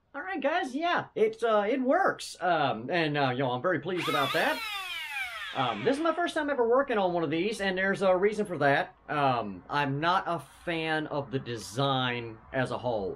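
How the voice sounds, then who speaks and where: There is noticeable noise in the background as a man speaks at a moderate speed. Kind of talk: casual review commentary. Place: home room. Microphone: camera far.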